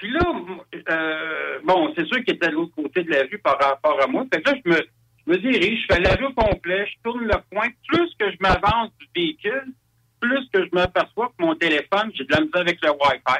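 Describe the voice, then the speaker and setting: A raised, projected voice with a bright, sharp tone and very wide pitch swings moves at a moderate pace, sounding dry and close with no echo. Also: man, high pitch for a man. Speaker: UFO witness. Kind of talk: testimony. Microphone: crackly, too loud.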